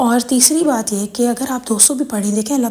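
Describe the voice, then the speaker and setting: A woman's high-pitched voice, its intonation fairly even, comes through noticeable background noise. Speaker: religious content creator. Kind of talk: religious Q&A talk.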